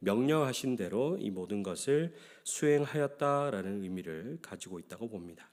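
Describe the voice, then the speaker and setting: A man speaks at a medium pitch with very wide pitch swings. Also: very clean recording, silent background. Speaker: pastor. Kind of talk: sermon.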